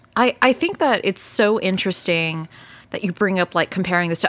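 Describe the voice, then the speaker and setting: In a normal speaking voice with an American accent, a woman talks at a fairly quick pace, medium in pitch, with ordinary pitch variation. The recording is very clean and dry, close with no echo, over a silent background. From Texas. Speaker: podcast host. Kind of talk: casual chat.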